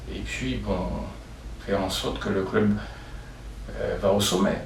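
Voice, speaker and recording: A man is speaking. There is audible room echo and noticeable background noise. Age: 70s. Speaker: sports club vice-president. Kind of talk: interview. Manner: halting.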